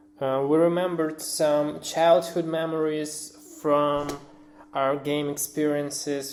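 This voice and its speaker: In audible room echo, a man with a non-native accent speaks very slowly at a fairly high pitch in a monotone, flat intonation. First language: not English. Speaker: independent game developer. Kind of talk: recorded anniversary message. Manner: halting, many filler words.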